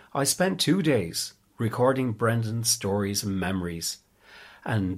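A man with an Irish accent speaks at a fairly slow pace and medium pitch, his voice somewhat breathy. His intonation is lively, and the recording is very clean with a silent background. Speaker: oral history interviewer. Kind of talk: interview. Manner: halting.

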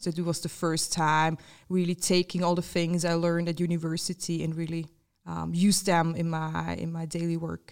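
A woman speaks in a fairly low, monotone, flat voice, captured in a very clean recording with a silent background. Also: moderate pace. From Switzerland, canton of Glarus. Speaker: innovation and design manager. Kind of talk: interview. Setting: office studio.

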